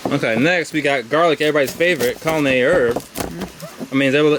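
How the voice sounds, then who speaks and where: Over noticeable background noise, a man talks at a very fast pace. His voice is fairly high, with ordinary pitch variation. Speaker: herbalist and chef teaching a workshop. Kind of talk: live demonstration workshop. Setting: outdoors with small audience. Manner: animated.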